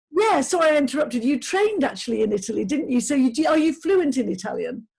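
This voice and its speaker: Here a woman with a Lincolnshire accent talks at a very fast pace and a high pitch. Her pitch swings very widely while her loudness stays very even. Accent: northern English (Lincolnshire). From northern England, Grimsby. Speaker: interviewer. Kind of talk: interview.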